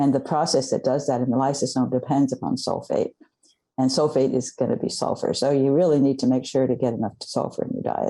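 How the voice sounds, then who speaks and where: A woman speaks at a very fast pace with very deep, low pitch, a dark, mellow tone and monotone, flat intonation. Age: 70s. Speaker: scientist and author. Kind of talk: interview. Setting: podcast interview.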